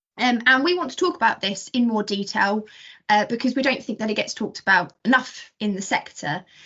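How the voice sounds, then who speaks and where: A woman's high-pitched voice with an Essex accent and lively intonation. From southern England, Essex. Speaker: podcast host, ecologist. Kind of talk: casual podcast chat.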